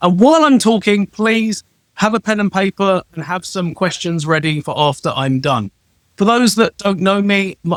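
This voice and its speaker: With a British accent and lively intonation, a man speaks at a high pitch and a moderate pace in a dry, close sound with no echo. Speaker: travel rewards consultant. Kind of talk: self-introduction talk on a live show. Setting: live stream.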